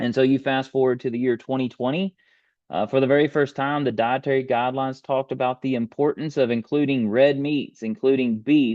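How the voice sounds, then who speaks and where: Moderate-paced speech with a Texan accent. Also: man. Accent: Texas Southern US. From US South, rural East Texas. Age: 30s. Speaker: beef industry presenter. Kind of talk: webinar presentation. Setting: online webinar with screen share.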